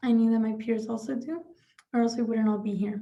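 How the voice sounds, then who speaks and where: A fairly high-pitched woman's voice with a dark, mellow tone and a non-native accent. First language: not English. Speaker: student representative. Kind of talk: prepared speech.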